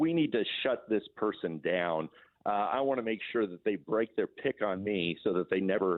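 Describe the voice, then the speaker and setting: A man with an American accent and a normal speaking voice, fairly low in pitch, with ordinary pitch variation and a fairly quick pace. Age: 60s. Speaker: political activist. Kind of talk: radio interview.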